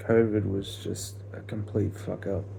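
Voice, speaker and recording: With audible room echo, a man talks at a fairly low pitch. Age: 20s. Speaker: vlogger. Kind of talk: casual monologue. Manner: slow; halting.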